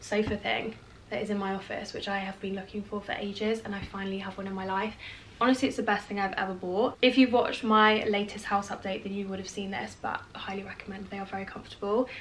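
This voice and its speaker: Light background noise sits behind a woman talking. She goes at a very fast pace with fairly even intonation. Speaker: vlogger. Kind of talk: casual vlog chat. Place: home room.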